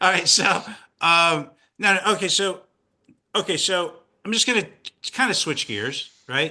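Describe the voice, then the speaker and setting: A man's raised, projected voice, high in pitch, bright and sharp, animated in tone, with ordinary pitch variation, a fairly slow pace, long and frequent pauses, and a quiet background. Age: 50s. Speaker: podcast co-host, investment advisor. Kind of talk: casual chat.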